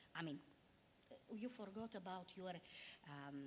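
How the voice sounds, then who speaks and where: In a Bulgarian accent, a woman talks at a medium pitch with very wide pitch swings and a somewhat breathy voice. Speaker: diplomat. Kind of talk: panel discussion. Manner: halting.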